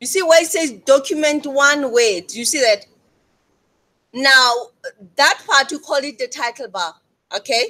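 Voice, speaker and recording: In a raised, projected voice, a woman speaks high and bright with a sharp tone, lively intonation, a fairly slow pace and long, frequent pauses. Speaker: lecturer. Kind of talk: tutorial. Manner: loud.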